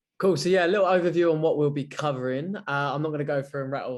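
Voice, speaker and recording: Delivered at a very fast pace, this voice speaks in a London accent with ordinary pitch variation. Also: man. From London, England. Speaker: recruitment consultant. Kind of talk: webinar presentation. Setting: video call webinar.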